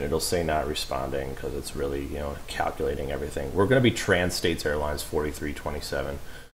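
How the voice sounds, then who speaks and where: With audible room echo, a man talks at a fairly quick pace in a very deep, low pitch. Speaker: flight sim streamer. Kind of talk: live stream gameplay commentary. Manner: soft-spoken at times; casual, filler-heavy.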